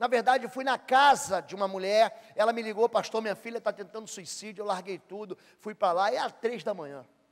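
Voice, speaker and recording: An extremely high-pitched man talks at a fairly quick pace with a Rio de Janeiro accent, his tone animated, his loudness swinging widely and his pitch varying in an ordinary way. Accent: Rio de Janeiro (carioca). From Brazil, Rio de Janeiro. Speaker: pastor. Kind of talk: sermon.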